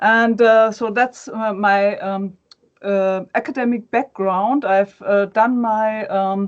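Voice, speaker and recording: This woman has a German accent, a fairly high pitch and a fairly even intonation. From Germany. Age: 40s. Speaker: academic and fan page administrator. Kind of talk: interview. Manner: halting, many fillers.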